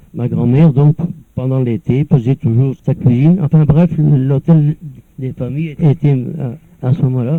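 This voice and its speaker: A man's fairly high, somewhat breathy voice at a fairly slow pace. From northern France, Nord coast near Dunkirk. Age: 70s. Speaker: elderly former local resident. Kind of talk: personal reminiscence. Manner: halting, with many repeated words.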